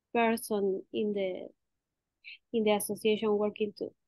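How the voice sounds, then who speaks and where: In an Argentine accent, a woman speaks at a fairly high pitch with fairly even intonation. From Argentina. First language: Spanish. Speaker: realtor. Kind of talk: video conference introduction. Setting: video call. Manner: halting.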